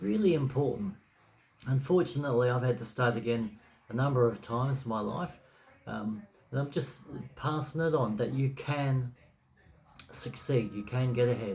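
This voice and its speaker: Delivered with an Australian accent at a moderate pace, the voice is relaxed and somewhat breathy, with ordinary pitch variation. Long pauses come often. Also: man, medium pitch for a man. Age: 60s. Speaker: blogger. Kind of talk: casual talk to camera. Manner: relaxed, hesitant with fillers.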